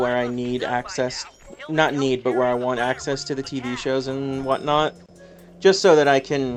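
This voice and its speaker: Noticeable background noise runs under the speech. The voice moves at a moderate pace with monotone, flat intonation. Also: man. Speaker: video game streamer. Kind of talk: casual gaming livestream chat. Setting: at home on couch, livestream. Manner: stutter at times.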